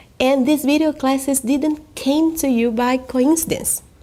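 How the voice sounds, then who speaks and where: A woman's high voice with fairly even intonation and a Brazilian accent. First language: Portuguese. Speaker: natural vision coach. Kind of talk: online course sales presentation. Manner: careful non-native English.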